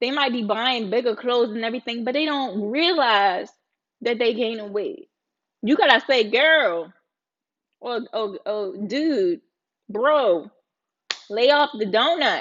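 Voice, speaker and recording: An animated voice in a Baltimore accent with lively intonation, a fairly slow pace and long, frequent pauses. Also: woman. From Baltimore, US. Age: 30s. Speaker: live streamer. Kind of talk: casual live-stream chat. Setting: live stream.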